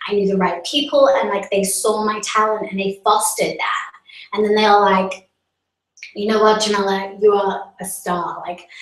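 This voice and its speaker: Fairly even intonation and a moderate pace, in an American accent. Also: woman, medium pitch for a woman. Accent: mainly American, slipping into English. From Vietnam, international school. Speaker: live streamer. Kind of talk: live stream chat answering viewers.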